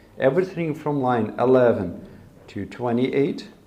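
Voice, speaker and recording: This man has a medium pitch and a dark, mellow tone, speaking at a moderate pace. His intonation is lively, and room echo is audible. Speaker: coding bootcamp instructor. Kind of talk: lecture.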